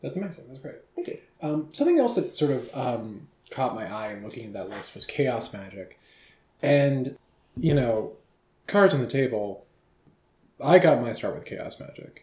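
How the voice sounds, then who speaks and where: A man's fairly high, somewhat breathy voice at a moderate pace, with lively intonation, big swings in loudness and long, frequent pauses. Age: 30s. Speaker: podcast host. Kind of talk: casual interview. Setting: friend's kitchen, in person.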